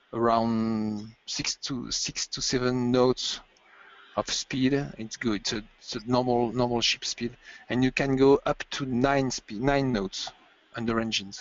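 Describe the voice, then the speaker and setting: His intonation is fairly even. The man talks with a non-native accent. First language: French. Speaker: ship technical director. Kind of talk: webinar interview. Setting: online webinar. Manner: halting, many repetitions.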